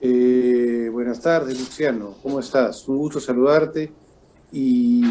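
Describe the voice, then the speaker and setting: Using fairly even intonation, a man speaks at a medium pitch in a dark, mellow tone. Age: 60s. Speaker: political analyst. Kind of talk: interview.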